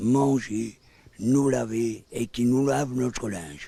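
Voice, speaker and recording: This man speaks with a dark, mellow tone and ordinary pitch variation. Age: 70s. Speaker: homeless pensioner interviewed. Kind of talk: testimony.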